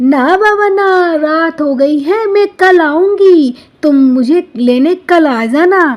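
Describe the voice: Someone uses a cartoonish character voice at a fairly slow pace, with hardly any pauses. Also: woman, extremely high pitch for a woman.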